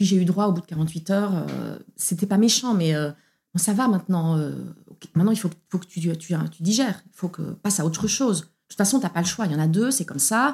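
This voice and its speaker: A somewhat breathy voice at a fairly quick pace, with ordinary pitch variation and big swings in loudness. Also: woman, fairly low pitch for a woman. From Belgium. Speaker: opera singer. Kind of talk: testimony. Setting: at the host's home.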